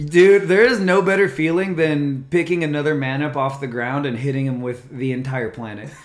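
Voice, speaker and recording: Noticeable background noise sits behind a man whose fairly high pitch has ordinary variation, delivered at a moderate pace with hardly any pauses. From California, Norco (Inland Southern California). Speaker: martial arts content creator. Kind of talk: casual chat. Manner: animated.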